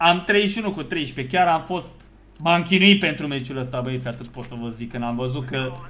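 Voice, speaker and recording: A man talks in an animated tone, his intonation lively and his loudness swinging widely. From Romania. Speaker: gaming YouTuber; gaming streamer. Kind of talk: live gameplay commentary. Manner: fast. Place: home room.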